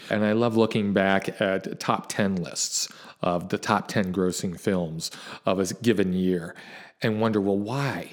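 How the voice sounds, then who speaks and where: A man's normal speaking voice, fairly low in pitch with ordinary pitch variation, at a fairly slow pace. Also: very clean recording, silent background. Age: 50s. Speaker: teacher and film critic. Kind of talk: casual interview.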